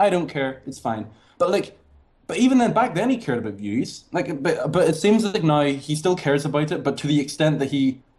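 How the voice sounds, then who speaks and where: At a fairly quick pace, a man with a fairly high, somewhat breathy voice makes very wide pitch swings. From Ireland. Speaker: student, podcast participant. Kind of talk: casual chat.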